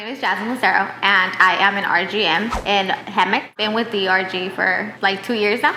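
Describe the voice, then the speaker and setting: Noticeable background noise surrounds the recording. Over it, a woman talks with fairly even intonation. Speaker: restaurant general manager. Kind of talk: interview testimonial. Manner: fast.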